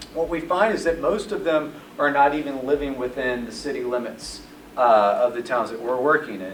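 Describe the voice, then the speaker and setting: Amid noticeable background noise and audible room echo, a man with an American accent talks at a moderate pace and fairly high pitch with ordinary pitch variation. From US South (northeast Mississippi). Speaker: retail development consultant. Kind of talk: presentation to audience.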